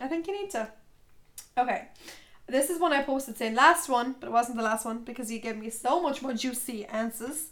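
A woman with an Irish accent, high-pitched and at a fairly quick pace. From Ireland, County Tipperary. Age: 20s. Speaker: podcast host. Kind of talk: casual solo talk. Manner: chatty, filler-heavy.

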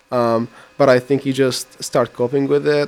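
With monotone, flat intonation, a man speaks. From Iraq. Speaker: college student. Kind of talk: radio interview.

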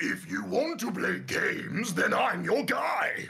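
In a put-on character voice, a man speaks raspily at a fairly slow pace.

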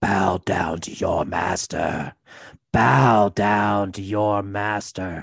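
A man puts on a raspy character voice, pitched fairly low and delivered at a very slow pace. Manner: shouting, commanding.

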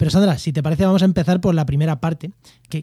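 Recorded with a dry, close sound and no echo, a man with a Spanish accent speaks with a dark, mellow tone at a fairly high pitch with ordinary pitch variation. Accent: Peninsular Spanish. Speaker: podcast host. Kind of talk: casual chat.

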